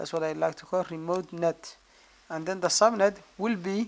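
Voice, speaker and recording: Against noticeable background noise, someone with a non-native accent speaks at a fairly slow pace. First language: not English. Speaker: network engineering tutor. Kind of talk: screen-recorded tutorial.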